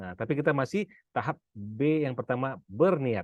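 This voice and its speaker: At a moderate pace, a man speaks over a quiet background. The sound is dry and close with no echo. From Pekanbaru, Sumatra, Indonesia. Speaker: business and finance coach. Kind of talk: seminar talk. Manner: casual, with frequent fillers.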